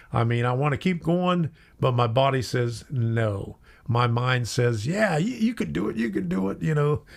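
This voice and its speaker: A man with a medium pitch talks at a moderate pace in a somewhat breathy voice. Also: lively intonation. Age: 70s. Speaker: model railroad youtuber. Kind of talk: live stream casual chat. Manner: halting.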